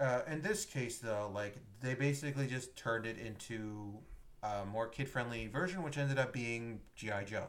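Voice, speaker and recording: Medium in pitch, a man speaks at a moderate pace with ordinary pitch variation. He has a plain, everyday voice. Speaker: podcast host. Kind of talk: casual chat.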